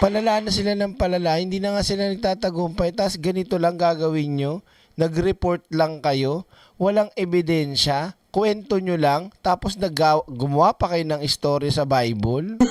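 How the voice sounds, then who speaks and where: A man's high-pitched voice at a moderate pace in a dry, close sound with no echo. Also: ordinary pitch variation. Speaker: political vlogger. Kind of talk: live stream commentary. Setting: live stream. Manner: animated.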